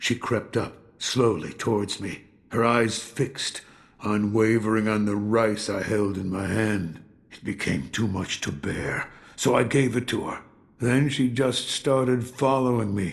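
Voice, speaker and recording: Putting on a character voice, a man speaks at a medium pitch and moderate pace with ordinary pitch variation. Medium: video game. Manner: slow, reflective, warm.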